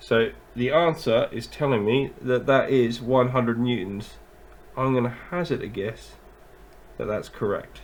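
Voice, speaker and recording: A man's medium-pitched voice, a normal speaking voice, with ordinary pitch variation. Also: fairly slow pace. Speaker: physics teacher. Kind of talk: tutorial.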